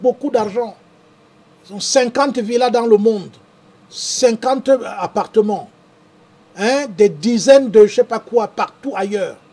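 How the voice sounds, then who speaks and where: Over noticeable background noise, a man with an extremely high pitch speaks fairly slowly, with ordinary pitch variation, big swings in loudness and long, frequent pauses. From Cameroon, Douala. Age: 60s. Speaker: farmer and show host. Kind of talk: live stream talk reading viewer comments.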